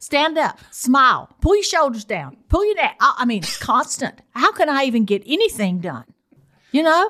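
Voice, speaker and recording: A woman's high, bright, sharp voice with a Southern US accent, very wide pitch swings and a moderate pace. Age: 70s. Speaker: host's mother. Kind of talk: casual chat. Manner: calm.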